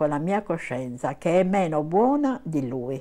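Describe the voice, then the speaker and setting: A woman speaks at a fairly slow pace in a very deep, low pitch. Her pitch swings very widely. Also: quiet background. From Cagliari, Sardinia. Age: 80s+. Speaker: blogger. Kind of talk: reading blog messages aloud.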